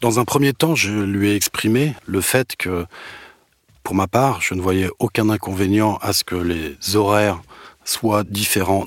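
A man talks at a fairly slow pace with ordinary pitch variation. The sound is dry and close, with no echo. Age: 50s. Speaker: manager. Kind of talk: testimony. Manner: halting.

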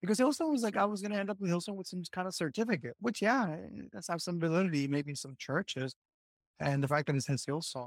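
A man with a Puerto Rican accent speaks at a very fast pace and high pitch, with lively intonation. The recording is very clean, with a silent background. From Puerto Rico. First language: Spanish. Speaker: former bible college student, teacher. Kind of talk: casual interview chat. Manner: halting, with many restarts.

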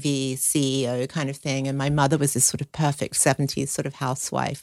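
A woman speaks at a fairly quick pace with a very deep, low pitch. The recording is very clean, with a silent background. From Australia (Sydney). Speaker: chef. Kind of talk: interview, personal testimony.

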